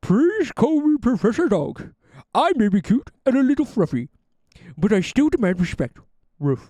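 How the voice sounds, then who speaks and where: At a moderate pace, a put-on character voice at a fairly high pitch swings very widely in pitch, with long, frequent pauses. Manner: cute, playful, demanding respect.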